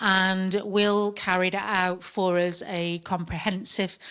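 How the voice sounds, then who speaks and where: Against a quiet background, a woman with a British accent speaks in a fairly low pitch with monotone, flat intonation. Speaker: law professor and solicitor chairing a forum session. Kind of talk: conference session introduction. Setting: conference room with audience. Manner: naturally loud; hesitant, with repeated words.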